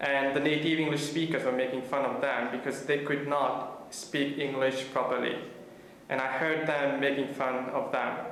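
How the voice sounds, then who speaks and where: Flat, monotone delivery from a man with a fairly high pitch, very even loudness and a moderate pace, plus audible room echo and noticeable background noise. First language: not English (third language, French-taught). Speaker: student. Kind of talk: interview testimony.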